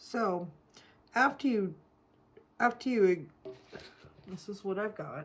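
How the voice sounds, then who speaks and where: A woman's medium-pitched, somewhat breathy voice at a very slow pace, with lively intonation, big swings in loudness, and long, frequent pauses. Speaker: soap-making craft youtuber. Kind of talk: tutorial. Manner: casual, chatty.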